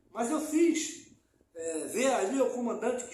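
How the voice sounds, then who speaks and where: A man at a fairly slow pace, very wide pitch swings and audible room echo. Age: old. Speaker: community activist. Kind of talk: interview. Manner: loud; halting.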